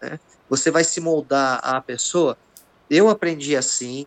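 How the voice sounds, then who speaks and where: A man with an unremarkable speaking voice and a fairly high pitch talks at a fairly slow pace, the sound dry and close with no echo. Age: 50s. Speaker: jiu-jitsu master. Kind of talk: casual chat.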